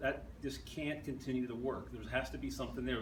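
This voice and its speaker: A man with an American accent speaks at a fairly quick pace. Noticeable background noise and audible room echo fill the recording. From southeastern Pennsylvania. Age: 60s. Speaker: newspaper journalist. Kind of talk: talk with audience Q&A. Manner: halting, many restarts.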